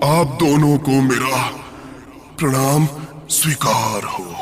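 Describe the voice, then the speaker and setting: Using a put-on character voice, a man talks at a fairly slow pace in a fairly high pitch, with light background noise and a clear echo. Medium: audio drama.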